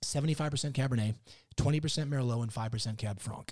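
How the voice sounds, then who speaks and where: A man talks in an animated, somewhat breathy voice at medium pitch with ordinary pitch variation. The recording is very clean, with a silent background. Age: 50s. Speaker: winemaker and author. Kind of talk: casual interview. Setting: winery tasting room.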